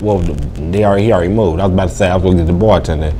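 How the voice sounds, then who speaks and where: A man speaks with an American accent. There's audible echo from the room. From West Virginia, Bluefield. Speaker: comedian. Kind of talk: interview. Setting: bar venue. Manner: casual, halting with repetitions.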